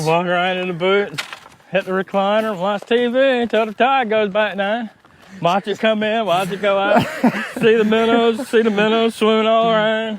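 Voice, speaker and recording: Against noticeable background noise, a man with a high pitch talks at a moderate pace with fairly even intonation. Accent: American. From Smith Island, Maryland. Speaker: crabber. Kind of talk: interview answer.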